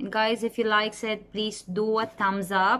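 What you hear is plain reading aloud.

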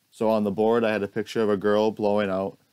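Over a quiet background, a man with an unremarkable speaking voice and a fairly low pitch talks at a fairly quick pace. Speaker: student teacher. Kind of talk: recorded presentation. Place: home room. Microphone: earbuds.

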